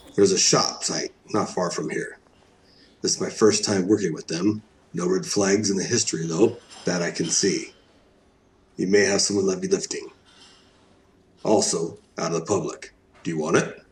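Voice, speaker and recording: A raspy, put-on character voice from a man, fairly low in pitch, at a moderate pace with long, frequent pauses. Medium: audio drama. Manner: curt, guarded.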